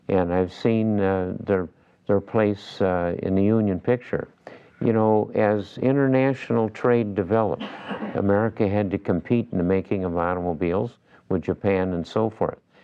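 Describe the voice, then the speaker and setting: A man with a fairly low pitch speaks at a moderate pace with ordinary pitch variation, against noticeable background noise. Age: 80s+. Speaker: radio show founder and businessman. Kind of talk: radio interview.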